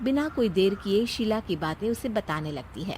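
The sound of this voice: Lively in intonation, a woman speaks at a fairly slow pace with medium pitch and a slightly mellow tone.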